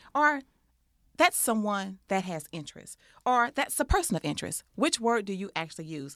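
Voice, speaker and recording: On a very clean recording with a silent background, a woman with an American accent speaks at a medium pitch and a moderate pace. Her pitch swings very widely, and her loudness rises and falls in big swings. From Texas. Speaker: life coach and podcast co-host. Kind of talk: casual chat.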